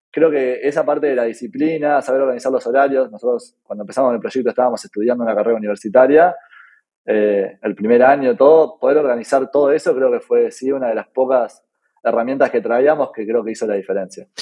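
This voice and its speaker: Speaking very fast with a Uruguayan accent, a man keeps a medium pitch and ordinary pitch variation. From Uruguay (Punta del Este). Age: 20s. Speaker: tech startup founder. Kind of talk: interview. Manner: halting, many fillers.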